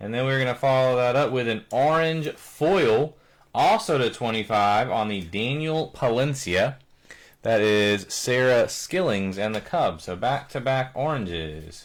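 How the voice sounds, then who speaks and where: Here a man talks at a medium pitch in a plain, everyday voice with lively intonation. The recording is very clean, with a silent background. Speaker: card breaker, live stream host. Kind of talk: live card break commentary.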